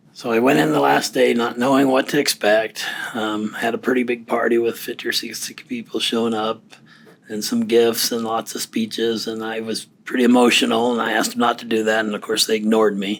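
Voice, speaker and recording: Fairly even intonation shapes a man's speech at a medium pitch. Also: fairly quick pace. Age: 60s. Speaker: recently retired defense worker and client. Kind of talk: casual interview conversation. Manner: halting.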